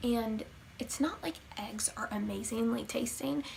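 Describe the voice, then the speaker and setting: Moderately paced speech from a woman with a fairly high pitch, music in the background. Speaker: vegan vlogger. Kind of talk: casual talk to camera. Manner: stuttering, hesitant with many fillers.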